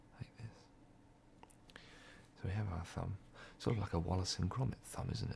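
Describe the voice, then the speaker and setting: Whispering in a relaxed tone, a man talks at a moderate pace, broken by long, frequent pauses. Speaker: ASMR creator. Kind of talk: ASMR crafting video. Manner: soft-spoken, relaxed.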